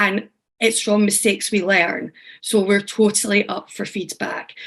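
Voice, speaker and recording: A woman with a strong Scottish accent speaks at a medium pitch in a monotone, flat way. She goes at a fairly slow pace over a quiet background. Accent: thick Scottish. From Scotland. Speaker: teaching artist and workshop facilitator. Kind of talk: online workshop facilitation. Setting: video call. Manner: casual, friendly.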